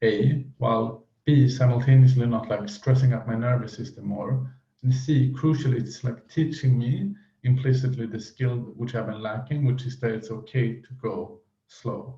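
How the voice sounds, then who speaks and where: Speaking at a moderate pace with a non-native accent, a man has a medium-pitched, somewhat breathy voice, a dark, mellow tone and fairly even intonation. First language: not English. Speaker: mental health vlogger. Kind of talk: unscripted monologue. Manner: halting, many fillers.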